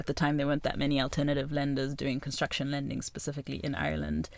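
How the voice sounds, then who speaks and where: A woman speaks with a very deep, low pitch. Her voice has vocal fry. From Zimbabwe, Harare. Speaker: real estate finance executive. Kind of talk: interview.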